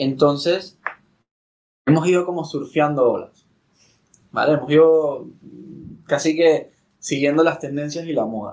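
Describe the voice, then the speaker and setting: A man at a fairly slow pace, fairly high-pitched with fairly even intonation and long, frequent pauses. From Venezuela. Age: 30s. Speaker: startup co-founder. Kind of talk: casual interview.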